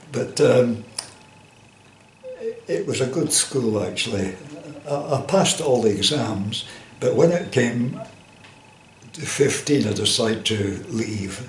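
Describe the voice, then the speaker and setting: Over noticeable background noise, a man speaks very slowly at a medium pitch. His intonation is lively, and he leaves long, frequent pauses. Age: 80s+. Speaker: former coal miner and joiner. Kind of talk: oral history interview answer.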